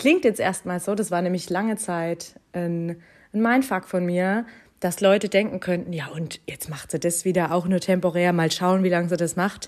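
Recorded very cleanly against a silent background, a woman speaks at a moderate pace and medium pitch with ordinary pitch variation. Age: 30s. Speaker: podcast host and life coach. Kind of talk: casual monologue. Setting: at home on sofa under a blanket. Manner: animated.

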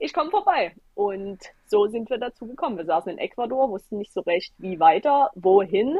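Here is a woman with a fairly high pitch and an animated tone. She talks at a moderate pace with lively intonation. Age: 20s. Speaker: travel blogger and former nurse. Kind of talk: interview.

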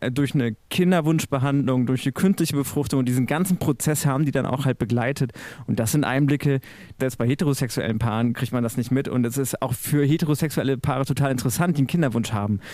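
At a very fast pace, a man speaks with a dark, mellow tone, a medium pitch, ordinary pitch variation and very even loudness in a very clean recording with a silent background. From Münsterland, western Germany. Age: 40s. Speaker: church media editor. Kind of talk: podcast interview.

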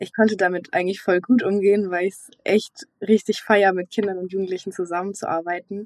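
Woman's voice at a medium pitch, fairly quick and flat in a monotone, in a dry, close sound with no echo. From Swabia, near Stuttgart. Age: young. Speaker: recent school graduate. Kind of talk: recorded testimony.

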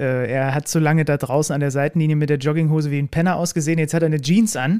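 A man with a dark, mellow tone and a fairly high pitch talks at a very fast pace with hardly any pauses. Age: 30s. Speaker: podcast host and sports commentator. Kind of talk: interview conversation.

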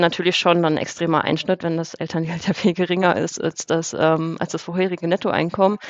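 Through noticeable background noise, a woman with a fairly low pitch speaks at a very fast pace with hardly any pauses and monotone, flat intonation. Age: 30s. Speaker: finance author and coach. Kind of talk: casual interview.

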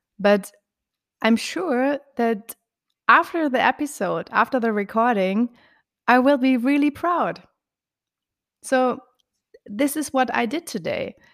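Speaking at a very slow pace with long, frequent pauses, a woman with a German accent has a high pitch and lively intonation. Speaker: relationship coach. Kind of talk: interview. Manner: halting.

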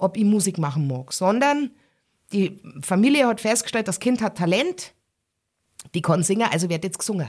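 A woman speaks at medium pitch with a strong Bavarian accent and very wide pitch swings. Her pace is moderate, and the recording is very clean with a silent background. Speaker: musician and cabaret artist. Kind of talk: casual interview.

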